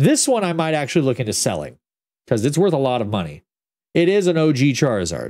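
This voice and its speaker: The voice has a dark, mellow tone and very wide pitch swings. It moves at a very fast pace over a quiet background. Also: man, fairly high pitch for a man. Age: 30s. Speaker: gaming streamer. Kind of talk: casual chat. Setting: home studio.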